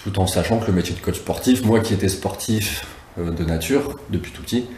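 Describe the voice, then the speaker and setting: There is noticeable background noise and audible room echo. A man talks at a moderate pace. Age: 30s. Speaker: sports coach. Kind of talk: testimony interview.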